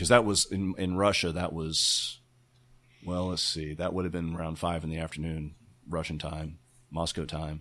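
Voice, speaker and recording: On a very clean recording with a silent background, a man with an American accent speaks at a moderate pace in a very deep, low voice. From Texas, Arlington. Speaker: retired NASA mission control engineer. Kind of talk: casual interview. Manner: halting, frequent repetitions.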